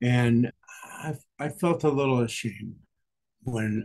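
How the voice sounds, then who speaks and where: A man with a dark, mellow tone takes his time, talking fairly slowly. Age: 80s+. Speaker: retiree learning to swim. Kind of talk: interview. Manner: halting. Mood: reflective, candid. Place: home room. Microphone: webcam.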